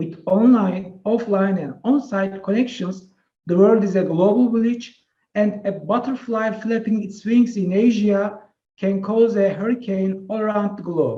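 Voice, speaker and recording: Speaking at a fairly slow pace with a Turkish accent, a man has a high pitch, a dark, mellow tone and fairly even intonation. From Turkey. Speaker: professor. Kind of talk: webinar presentation. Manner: hesitant with filler sounds.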